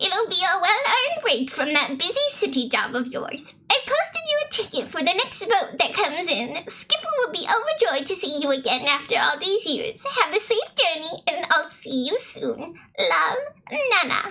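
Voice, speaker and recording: A female-sounding, put-on character voice pitched extremely high with very wide swings. It moves at a moderate pace with hardly any pauses. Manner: warm, gentle.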